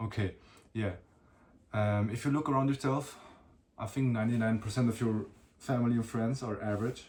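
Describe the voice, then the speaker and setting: A man with a non-native accent speaks at a medium pitch and a fairly quick pace. His speech has long, frequent pauses. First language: not English. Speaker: solo podcaster / vlogger. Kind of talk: casual monologue. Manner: halting.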